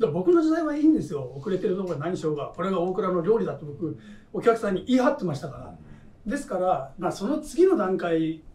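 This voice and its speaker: In a room with audible echo, a high-pitched man talks very fast, with very wide pitch swings and big swings in loudness. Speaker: hotel executive chef. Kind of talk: roundtable discussion. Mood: relaxed, candid. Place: cafe.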